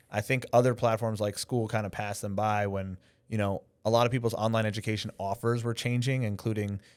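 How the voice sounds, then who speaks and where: In a very clean recording with a silent background, a man speaks fairly low in pitch with monotone, flat intonation. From New York. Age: 40s. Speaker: filmmaker and live broadcast director. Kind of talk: podcast interview. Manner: casual, filler-heavy.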